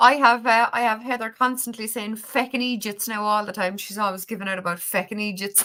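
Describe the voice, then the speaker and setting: A woman with an Irish accent speaks with hardly any pauses. Her fairly high voice has a bright, sharp tone and fairly even intonation. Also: fairly quick pace. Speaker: spiritual livestream host. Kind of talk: casual live-stream chat. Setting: online livestream.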